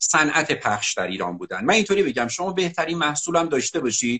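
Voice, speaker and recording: Speaking at a very fast pace is a man. His pitch swings very widely. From Iran, Alamut region of Qazvin province. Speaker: marketing teacher and author. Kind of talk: interview. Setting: Instagram live video stream.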